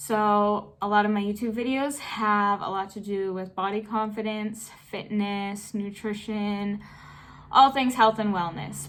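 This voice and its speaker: A woman speaks at a medium pitch and a fairly slow pace. It is a normal speaking voice. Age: 20s. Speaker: fitness YouTuber and personal trainer. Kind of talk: casual Q&A vlog.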